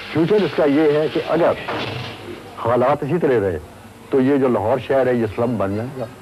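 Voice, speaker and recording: Lively intonation from a man at medium pitch, with long, frequent pauses and noticeable background noise. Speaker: resident of old city. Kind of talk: interview.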